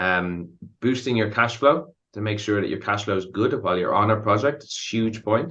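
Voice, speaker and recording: A man with a fairly low pitch and a bright, sharp tone talks at a moderate pace with ordinary pitch variation over a quiet background. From Ireland. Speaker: contracts consultant. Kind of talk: podcast interview. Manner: frequent fillers.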